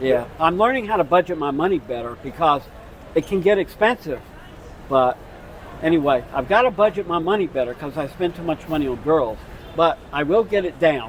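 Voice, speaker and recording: A man with an American accent speaks at a fairly quick pace in a fairly high pitch, his intonation lively, while crowd noise carries on in the background. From United States. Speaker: retired expat. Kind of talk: street interview.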